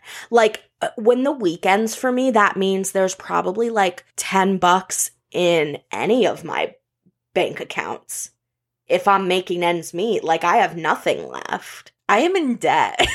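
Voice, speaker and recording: An ordinary speaking voice from a woman, medium in pitch with ordinary pitch variation, on a very clean recording with a silent background. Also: fairly slow pace. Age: 20s. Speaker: podcast host. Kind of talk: casual chat.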